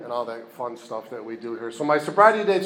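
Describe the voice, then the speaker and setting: A man with an upstate New York accent speaks at a fairly quick pace. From upstate New York (Rochester). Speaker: recovery meeting speaker. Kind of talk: testimony.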